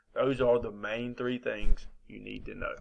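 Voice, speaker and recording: A man with an American accent, in a very clean recording against a silent background. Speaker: teacher. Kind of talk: recorded lecture. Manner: fast; casual.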